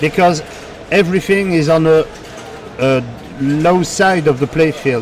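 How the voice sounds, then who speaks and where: A man with a French accent talks at a fairly slow pace, leaving long, frequent pauses. His fairly high voice keeps a very even loudness and ordinary pitch variation over noticeable background noise. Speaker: pinball commentator. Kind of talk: live commentary. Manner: halting.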